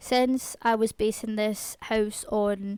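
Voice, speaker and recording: A woman talks at a fairly high pitch in a flat, monotone delivery. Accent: Scottish. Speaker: gaming YouTuber. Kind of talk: gameplay voiceover commentary. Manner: fast.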